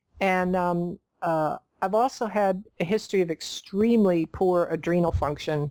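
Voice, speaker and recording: A woman with an unremarkable speaking voice talks at a fairly slow pace, her medium pitch moving in lively intonation. The recording is very clean with a silent background, and the sound is dry and close with no echo. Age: 60s. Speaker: nutritionist. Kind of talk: interview.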